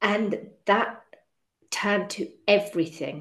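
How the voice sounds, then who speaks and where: The woman's voice sits at a medium pitch. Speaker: podcast host and eating disorder coach. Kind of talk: podcast interview. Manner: halting, stumbling over words.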